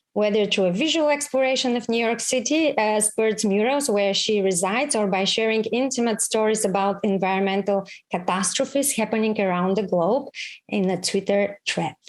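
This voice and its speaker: A woman's fairly high pitch with a Bulgarian accent, ordinary pitch variation and very even loudness. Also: moderate pace. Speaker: foundation chair, event host. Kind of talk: formal event introduction. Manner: formal.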